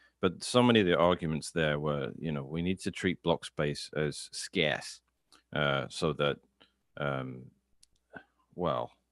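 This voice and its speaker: A man with a very deep, low voice and vocal fry speaks at a fairly slow pace with ordinary pitch variation and long, frequent pauses, recorded dry and close with no echo. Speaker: Bitcoin commentator. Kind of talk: casual chat.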